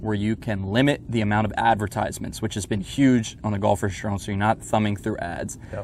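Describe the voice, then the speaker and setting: A man with a normal speaking voice speaks at a fairly low pitch in an American accent, his intonation fairly even. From Northern Virginia (Alexandria). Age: young. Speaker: golf magazine editor. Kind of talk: casual interview chat. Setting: outdoors at golf course.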